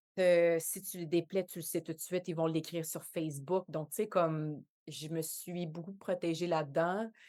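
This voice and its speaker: In a Quebec accent, a woman speaks at a moderate pace with a fairly low, dark, mellow tone, monotone, flat intonation and big swings in loudness, all against a quiet background. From Quebec, Montreal shore. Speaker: actress and dancer. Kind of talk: podcast interview. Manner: hesitant, many fillers.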